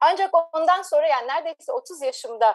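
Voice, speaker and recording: A woman at a moderate pace. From Turkey, Ankara. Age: 40s. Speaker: marine scientist. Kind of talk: interview.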